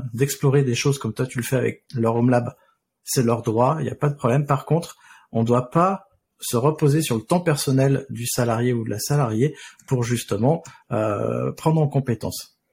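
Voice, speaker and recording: Somewhat breathy, a man talks at a moderate pace with a medium pitch and ordinary pitch variation, on a very clean recording with a silent background. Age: 40s. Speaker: podcast host and freelance DevOps consultant. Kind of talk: casual interview chat.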